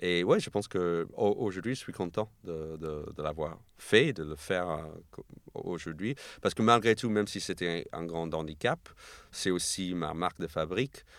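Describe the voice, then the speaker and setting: A man with an American accent and a very deep, low pitch speaks at a fairly slow pace with ordinary pitch variation in a very clean recording with a silent background. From US, New York, Argentine parents. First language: English (speaking French). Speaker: comedian. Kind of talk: casual chat. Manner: halting.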